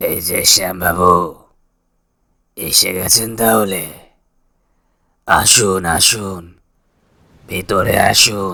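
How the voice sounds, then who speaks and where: A man does a put-on character voice that is raspy, with a very deep, low pitch. He speaks at a very slow pace with fairly even intonation. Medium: read story. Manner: jovial, overfamiliar, insistent.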